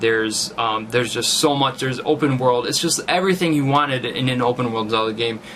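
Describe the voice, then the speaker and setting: With noticeable background noise, a man speaks very fast at a medium pitch with ordinary pitch variation. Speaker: gaming YouTuber. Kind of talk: casual commentary. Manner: halting, many fillers.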